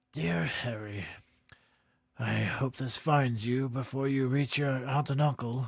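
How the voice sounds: The pitch falls in a low-to-middle range. It is a put-on character voice. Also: fairly slow pace.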